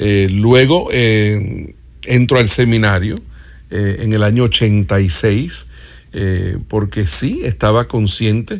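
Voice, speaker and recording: Very slow speech comes with pitch that varies in an ordinary way. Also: man, fairly low pitch for a man. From Puerto Rico, then Miami from age 11. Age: 50s. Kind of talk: interview testimony. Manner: halting, many filler sounds.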